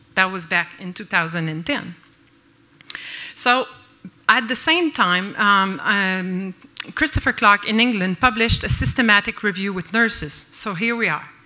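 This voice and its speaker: A woman in a Quebec French accent speaks at a moderate pace and medium pitch, with lively intonation, a bright, sharp tone, big swings in loudness and long, frequent pauses. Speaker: nurse researcher and lecturer. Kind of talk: conference lecture. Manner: halting, with many fillers.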